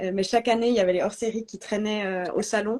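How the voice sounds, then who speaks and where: Speaking at a fairly quick pace, a woman with a slight Swiss French accent uses fairly even intonation at a fairly high pitch. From Switzerland, French-speaking Alps (Vaud). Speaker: astrology student and marketing professional. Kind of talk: testimony in a live interview. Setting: Instagram live video call. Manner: hesitant, many fillers.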